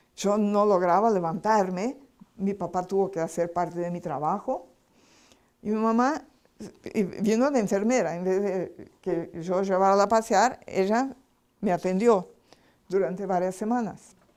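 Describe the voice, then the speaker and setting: A woman at a medium pitch speaks at a fairly slow pace with ordinary pitch variation and long, frequent pauses. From Brazil. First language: Portuguese (speaking Spanish). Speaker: spiritual healing lecturer. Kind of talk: lecture.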